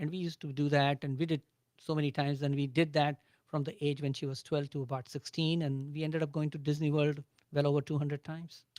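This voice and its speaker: Dry and close with no echo, the voice speaks at a very fast pace in an Indian accent with monotone, flat intonation. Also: man, fairly high pitch for a man. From India, Agra. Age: 60s. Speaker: business owner. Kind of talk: radio interview.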